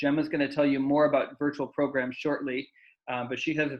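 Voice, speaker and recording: Speaking at a fairly quick pace, a man has a fairly high voice. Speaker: senior center staff. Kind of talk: community meeting updates. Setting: video call. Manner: fast.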